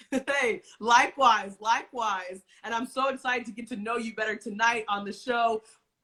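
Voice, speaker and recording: The speaker talks in an American accent at a moderate pace, animated and with hardly any pauses, the tone bright and sharp. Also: woman, fairly high pitch for a woman. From United States. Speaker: talk show host. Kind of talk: casual interview. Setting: Instagram live stream.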